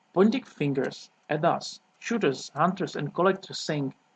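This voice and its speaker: A man's high-pitched voice in a Czech accent at a moderate pace, with ordinary pitch variation and a dry, close sound with no echo. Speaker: sport shooter. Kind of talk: reading aloud. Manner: formal.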